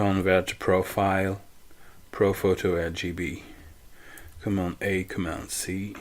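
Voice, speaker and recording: The speech moves at a fairly slow pace with long, frequent pauses. The intonation stays monotone and flat. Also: man, very deep, low pitch for a man. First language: not English. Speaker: photo editing tutorial maker. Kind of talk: tutorial. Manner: halting.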